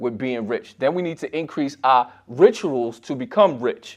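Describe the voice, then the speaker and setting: Against a quiet background, a man with an unremarkable speaking voice talks at a moderate pace, fairly high in pitch and with lively intonation. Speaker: financial commentator. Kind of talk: casual financial tutorial.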